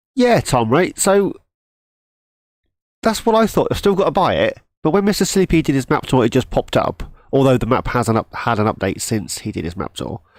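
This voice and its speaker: Fairly quick and full of long, frequent pauses, a man's fairly high voice shows vocal fry and very wide pitch swings, with a dry, close sound and no echo. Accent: British. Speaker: gaming streamer. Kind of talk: live gameplay stream chat. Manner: halting; casual.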